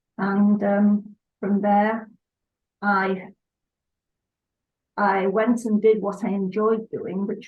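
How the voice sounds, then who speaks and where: The speaker talks at a very slow pace in a somewhat breathy voice, with monotone, flat intonation. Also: woman. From northern England, Salford, Lancashire. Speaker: pet portrait artist. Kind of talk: casual interview. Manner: halting.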